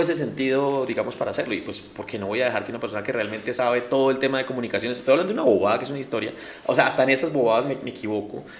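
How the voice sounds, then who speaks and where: Noticeable background noise and audible room echo surround a man talking at a very fast pace in a medium pitch with ordinary pitch variation. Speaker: city councillor, politician. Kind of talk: interview. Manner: casual, hesitant fillers.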